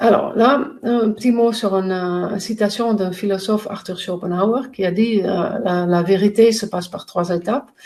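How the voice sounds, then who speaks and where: Fairly slow delivery from a woman, pitch moving in an ordinary way. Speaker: pain coach and trainer. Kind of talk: educational talk to camera. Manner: halting, many hesitations.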